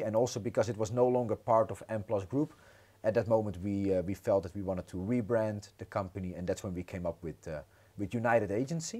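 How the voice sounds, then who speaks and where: In a very clean recording with a silent background, a man talks at a fairly quick pace in a dark, mellow tone. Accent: Dutch. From Netherlands. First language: Dutch. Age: 30s. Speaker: entrepreneur. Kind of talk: podcast interview.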